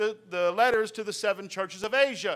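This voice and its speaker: In a raised, projected voice with an American accent, a man speaks at a moderate pace in a bright, sharp tone with ordinary pitch variation on a very clean recording with a silent background. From Virginia. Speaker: preacher. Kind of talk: sermon. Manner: loud; halting, with many fillers.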